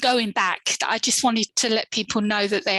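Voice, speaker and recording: A woman speaks with a British accent at a moderate pace, her pitch fairly high. Intonation is fairly even, and the sound is dry and close with no echo. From UK. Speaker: author and author services provider. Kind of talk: interview.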